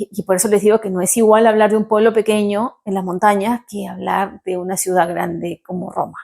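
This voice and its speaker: A woman speaks in a Peruvian accent. Her pitch is medium and her pace moderate. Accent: Peruvian Spanish accent, kept. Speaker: vlogger. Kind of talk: vlog talk to camera. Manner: animated.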